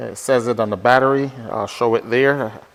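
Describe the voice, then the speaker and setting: Noticeable background noise fills the clip. A man's voice comes through it. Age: 60s. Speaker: motorcycle vlogger. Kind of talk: casual vlog talk to camera. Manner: conversational with fillers.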